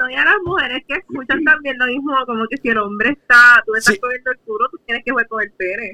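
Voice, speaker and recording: The speech runs at a fairly quick pace with hardly any pauses and ordinary pitch variation. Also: woman, high pitch for a woman. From Puerto Rico, San Juan metro area. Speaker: podcast co-host. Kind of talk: casual chat. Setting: video call.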